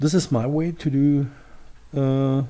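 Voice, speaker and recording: A man with a non-native accent talks at a fairly slow pace in a dark, mellow tone. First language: not English. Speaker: tutorial creator. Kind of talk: software tutorial. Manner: halting, many fillers.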